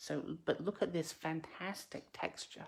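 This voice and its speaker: Her voice sits very deep and low. The woman's delivery is fairly slow. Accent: slight English. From UK. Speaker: craft demonstrator. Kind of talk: live craft tutorial. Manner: hesitant, many fillers.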